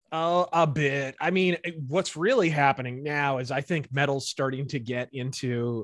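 A man with an American accent uses a plain, everyday voice at a fairly high pitch and moderate pace, in a very clean recording with a silent background and a dry, close sound with no echo. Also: hardly any pauses. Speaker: political and pop culture commentator. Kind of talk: casual interview chat.

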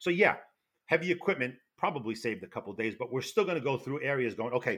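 Loud and at a very fast pace, a man with a New York accent speaks with very wide pitch swings. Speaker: retired federal fire investigator. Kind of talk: interview.

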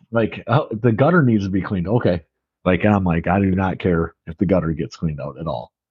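Fairly quick and full of lively intonation, this voice carries an American accent. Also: man, very deep, low pitch for a man. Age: 30s. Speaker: podcast co-host. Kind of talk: casual chat.

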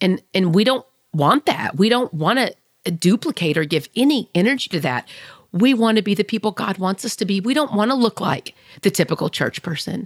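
Loud, animated woman at medium pitch with very wide pitch swings, fairly quick pace, dry and close sound with no echo. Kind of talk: faith-based monologue.

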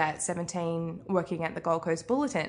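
A woman with a New Zealand accent speaks with a bright, sharp tone at a fairly low pitch. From New Zealand, Arrowtown near Queenstown. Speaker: author. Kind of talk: interview. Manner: casual with frequent fillers.

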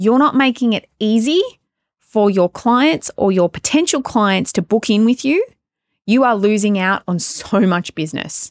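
Speaking at a moderate pace in an Australian accent, a woman with a fairly high pitch and very wide pitch swings comes through in a very clean recording with a silent background and a dry, close sound with no echo. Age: 30s. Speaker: podcast host and salon business coach. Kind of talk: solo podcast monologue. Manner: casual, chatty.

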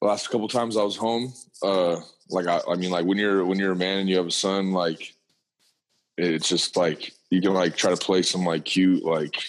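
A man's low pitch at a moderate pace, with fairly even intonation

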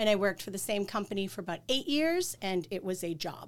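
A woman with a slight Boston accent speaks fairly quickly at medium pitch with lively intonation, in a very clean recording with a silent background. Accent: Boston accent, slight to moderate. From Boston area, Massachusetts. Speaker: life insurance agent. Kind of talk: casual chat.

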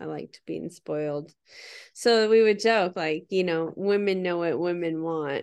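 In an unremarkable speaking voice, a woman talks at a fairly slow pace with a fairly low pitch and ordinary pitch variation over a quiet background. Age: 40s. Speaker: podcast co-host. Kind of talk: casual chat.

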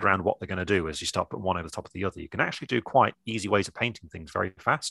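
Over a quiet background, a man with an English accent speaks at a fairly low pitch in a bright, sharp tone, the sound dry and close with no echo. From England. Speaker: miniature painting teacher. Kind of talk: casual chat.

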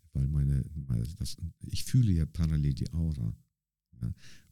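A man speaks with a very deep, low pitch. His tone is dark and mellow, with ordinary pitch variation. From northern Germany, Bremerhaven. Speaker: street dancer. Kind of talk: interview conversation.

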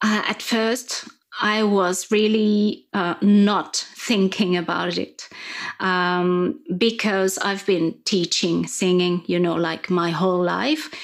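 A woman with a French accent speaks at a very slow pace, at a medium pitch with ordinary pitch variation. The recording is very clean, with a silent background. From France. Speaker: singing coach. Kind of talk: interview. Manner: halting.

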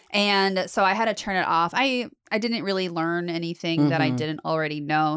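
A woman with a Southern California accent, fairly low in pitch with ordinary variation, at a moderate pace on a very clean recording with a silent background. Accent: Valley Girl. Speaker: podcast co-host. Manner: casual, chatty.

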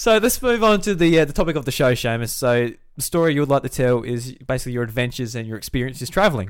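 A man with an Australian accent at a medium pitch, very fast pace, lively intonation and hardly any pauses. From South Australia, Millicent. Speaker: podcast host. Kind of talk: casual chat.

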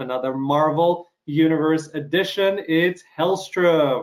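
A man's fairly high voice with ordinary pitch variation and a slight Canadian accent. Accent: slight Canadian touches. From Ukraine. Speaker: podcast host interviewing actors. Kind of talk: casual interview.

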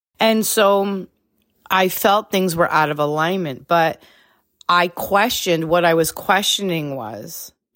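Her intonation lively, a woman speaks at a very slow pace and fairly low pitch on a very clean recording with a silent background. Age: 40s. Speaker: business coach and podcast host. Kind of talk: solo podcast monologue. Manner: casual, conversational with fillers.

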